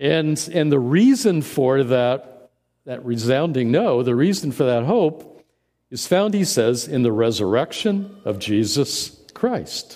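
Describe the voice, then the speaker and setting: At a very slow pace, a man with a Midwestern American accent speaks in a fairly high pitch with a dark, mellow tone and lively intonation. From US Midwest (central Indiana). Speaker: interim pastor. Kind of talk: sermon. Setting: church. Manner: halting, frequent fillers and repeated words.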